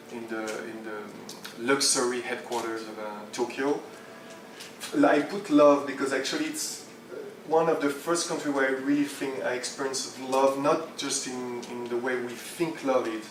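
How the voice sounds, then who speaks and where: A voice with a French accent at a moderate pace, fairly even intonation and big swings in loudness, amid audible room echo and noticeable background noise. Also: man, medium pitch for a man. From France, Champagne region. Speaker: entrepreneur and speaker. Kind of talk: conference talk. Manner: halting.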